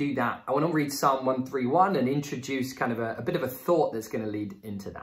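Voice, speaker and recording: A man talks with hardly any pauses. The background is quiet. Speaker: church teacher. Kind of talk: sermon. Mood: warm, calm. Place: home room.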